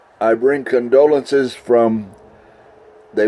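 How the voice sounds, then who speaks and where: Noticeable background noise sits behind a man speaking at a fairly slow pace. His medium-pitched delivery is monotone and flat. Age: 80s+. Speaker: interviewer visiting an old friend. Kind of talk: casual chat.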